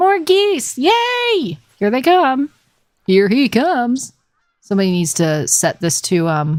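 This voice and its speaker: Very slowly and with very wide pitch swings, a woman speaks at a high pitch with a slight Southern US accent. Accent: very faint Southern twang. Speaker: gaming livestreamer. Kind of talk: casual livestream chat. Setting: livestream. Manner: calm.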